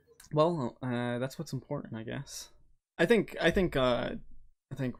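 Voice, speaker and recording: Mumbling at a moderate pace, a man is heard on a very clean recording with a silent background. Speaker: podcast co-host and YouTuber. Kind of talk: casual chat. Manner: stumbles over words.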